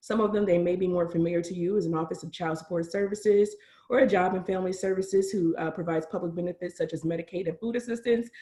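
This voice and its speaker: A woman talks at a very fast pace in a fairly low pitch. Her voice is somewhat breathy. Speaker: county reentry office director. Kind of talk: webinar presentation.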